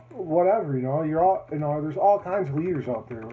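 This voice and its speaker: Noticeable background noise runs under a man whose voice is pitched fairly high. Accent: American. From northern Wisconsin. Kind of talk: campaign speech. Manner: casual, rambling with fillers.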